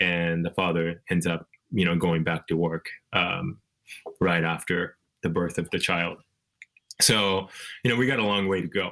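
A man with a Japanese accent speaks at a moderate pace in a very deep, low voice with a bright, sharp tone. His loudness stays very even, his intonation fairly even, and he takes long, frequent pauses. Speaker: author. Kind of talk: interview. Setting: video call.

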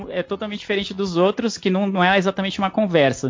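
With music playing in the background, a man speaks in a São Paulo accent. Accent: paulistano Brazilian Portuguese. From São Paulo (East Zone), Brazil. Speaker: podcaster guest. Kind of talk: casual panel chat.

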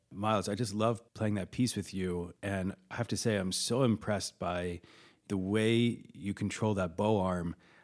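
A man with a plain, everyday voice and fairly low pitch, ordinary pitch variation and a moderate pace, in a very clean recording with a silent background. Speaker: radio host and pianist. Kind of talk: radio music show hosting and interviews. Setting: recording studio.

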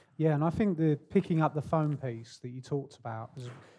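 The man's voice is fairly high in pitch. Its tone is dark and mellow, with ordinary pitch variation. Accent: British. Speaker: podcast host. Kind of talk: podcast interview. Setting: stage with audience.

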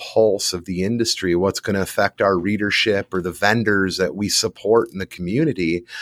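With an American accent, a man uses a normal speaking voice at a fairly low pitch, moderate pace and ordinary pitch variation, in a dry, close sound with no echo on a very clean recording with a silent background. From US North. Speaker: trade magazine publisher. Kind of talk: casual chat.

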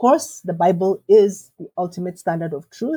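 At a moderate pace, a woman speaks in a medium pitch that is somewhat breathy, with a dark, mellow tone and a dry, close sound with no echo. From Kenya. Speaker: theologian and professor. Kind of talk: interview conversation.

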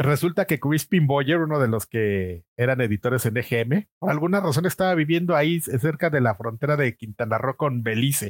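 A man's fairly high voice with a Mexico City accent and lively intonation, at a moderate pace with hardly any pauses and very even loudness, in a very clean recording with a silent background and a dry, close sound with no echo. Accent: Mexico City Spanish (chilango). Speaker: video game magazine editor. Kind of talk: casual interview chat.

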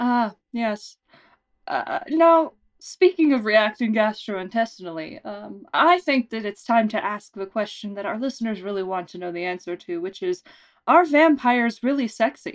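With very wide pitch swings and big swings in loudness, a woman speaks at a moderate pace in a fairly high voice. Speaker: podcast host and producer. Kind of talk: mock serious interview, comedy.

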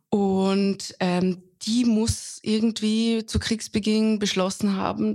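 A woman with a slight Austrian accent speaks at a very slow pace in a somewhat breathy voice. Her medium pitch carries fairly even intonation. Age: 30s. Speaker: foreign correspondent. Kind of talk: interview.

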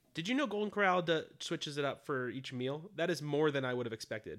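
A man's voice sits at a fairly high pitch. He talks at a fairly quick pace. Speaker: comedy podcast co-host. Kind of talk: casual chat. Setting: home, in bed. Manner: laid-back, lounging.

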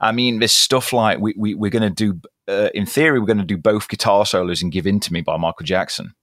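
A man with a British accent and a fairly low voice, talking at a very fast pace with hardly any pauses and ordinary pitch variation, on a very clean recording with a silent background. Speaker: guitarist.

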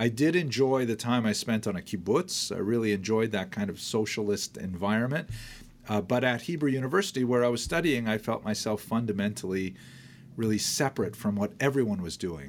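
In an ordinary speaking voice, a man with a Canadian accent talks at a fairly quick pace and medium pitch, with lively intonation. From northern Ontario, Canada. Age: 60s. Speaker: historian and college dean. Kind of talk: interview storytelling.

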